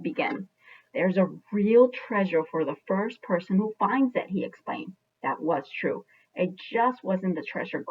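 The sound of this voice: The background stays quiet. This is an unforced reading voice.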